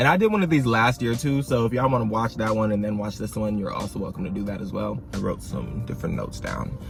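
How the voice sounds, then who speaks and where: Music plays behind a man speaking at a very fast pace with hardly any pauses. His intonation is lively. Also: fairly low pitch for a man. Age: young. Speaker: college freshman. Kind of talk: casual talk to camera. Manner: frank, informal.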